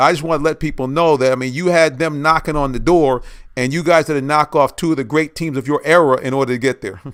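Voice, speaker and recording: Speaking at a very fast pace, a man with a fairly high pitch keeps his intonation fairly even in a very clean recording with a silent background. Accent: American. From US Northeast. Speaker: sports talk show host. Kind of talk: interview.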